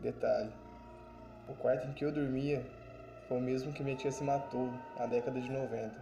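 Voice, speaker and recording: A man at medium pitch with monotone, flat intonation, moderate pace and long, frequent pauses, plus noticeable background noise and audible room echo. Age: 20s. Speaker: podcast host. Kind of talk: personal storytelling.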